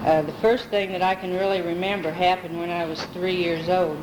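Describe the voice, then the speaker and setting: Speaking in a monotone with flat intonation, a woman with a fairly low pitch is heard with audible room echo and noticeable background noise. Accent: American. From US Midwest, Pekin, Illinois. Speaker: family member telling life story. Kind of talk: oral history recollection. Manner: halting.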